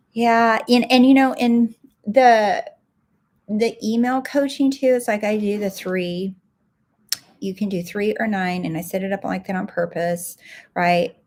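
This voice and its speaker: Soft-spoken and fairly slow, a woman at a fairly high pitch speaks with long, frequent pauses and ordinary pitch variation. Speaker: life coach and podcast host. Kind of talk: live stream talk. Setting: livestream, home recording.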